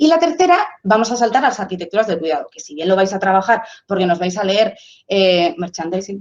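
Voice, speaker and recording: This woman's voice sits at a medium pitch. She moves along at a fairly quick pace. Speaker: sociologist. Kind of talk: lecture. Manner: fast; animated.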